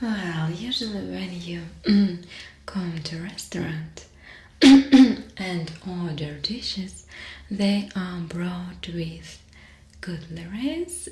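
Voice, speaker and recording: Speaking in a Russian accent, a woman with a fairly low pitch talks at a very slow pace with fairly even intonation and long, frequent pauses. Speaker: ASMR artist. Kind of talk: ASMR roleplay. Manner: soft-spoken, whispered.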